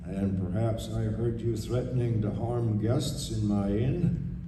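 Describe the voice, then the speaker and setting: A woman's put-on character voice, very deep and low in pitch and rumbling, at a fairly slow pace with strong echo and loud background noise. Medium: stage play. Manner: calm, soft-spoken authority.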